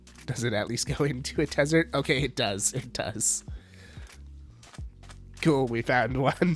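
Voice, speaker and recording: Music plays behind a man speaking at a fairly slow pace, with long, frequent pauses. His medium-pitched voice has an upbeat tone and lively intonation. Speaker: streamer. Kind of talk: casual live-stream gameplay commentary.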